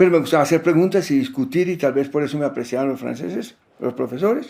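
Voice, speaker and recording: Dark, mellow tone from a man with a fairly high pitch and ordinary pitch variation, in a very clean recording with a silent background. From Colombia. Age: 80s+. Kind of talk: interview. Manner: reflective, conversational.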